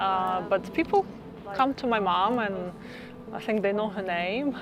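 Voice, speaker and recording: A woman speaks with a Russian accent at a fairly slow pace, with ordinary pitch variation. Noticeable background noise is present. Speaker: resident. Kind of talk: documentary interview.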